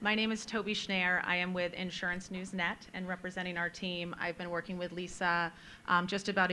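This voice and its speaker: Loud and flat in a monotone, a woman with a fairly low pitch and a bright, sharp tone speaks at a moderate pace. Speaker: media account director. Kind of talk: conference panel discussion. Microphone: holding microphone far away.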